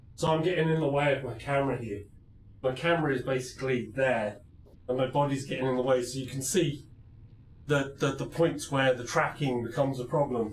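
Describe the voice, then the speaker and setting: Medium-pitched man, somewhat breathy, fairly quick pace, audible room echo. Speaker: VR gaming streamer. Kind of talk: live gameplay stream. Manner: animated.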